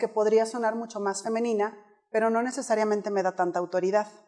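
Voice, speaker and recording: A woman at a fairly high pitch and very fast pace. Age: 30s. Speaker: public speaking coach. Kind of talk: keynote talk. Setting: stage with audience. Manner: animated.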